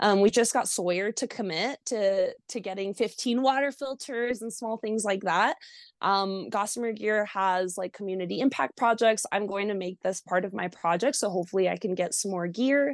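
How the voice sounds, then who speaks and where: In a dry, close recording with no echo and a quiet background, a woman talks at a moderate pace with hardly any pauses, medium pitch and ordinary pitch variation. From Mexico, moved to US at six or seven. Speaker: long-distance hiker. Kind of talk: interview. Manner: hesitant with many fillers.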